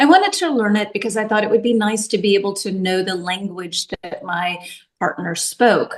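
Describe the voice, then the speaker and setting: Someone with a Tennessee accent speaks at a moderate pace, with ordinary pitch variation. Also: woman, medium pitch for a woman. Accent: Southern US (Tennessee). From US South, Nashville, Tennessee. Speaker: English teacher. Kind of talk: casual chat.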